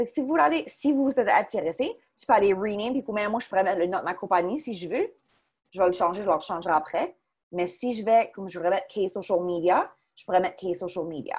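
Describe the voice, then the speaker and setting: The woman's medium-pitched voice moves at a fairly quick pace, with lively intonation and big swings in loudness. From Chéticamp, Cape Breton, Nova Scotia (Acadian). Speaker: social media marketing consultant, workshop presenter. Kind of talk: online workshop presentation. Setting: video call. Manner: fast; hesitant fillers.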